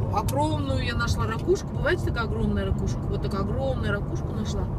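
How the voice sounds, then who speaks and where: A man talks at a moderate pace. Loud background noise runs behind him. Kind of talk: casual storytelling chat. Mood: cheerful, animated. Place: car. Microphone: phone near.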